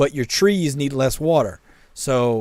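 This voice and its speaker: A man speaks in a fairly high pitch. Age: 30s. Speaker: game streamer. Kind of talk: live stream chat. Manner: casual, halting.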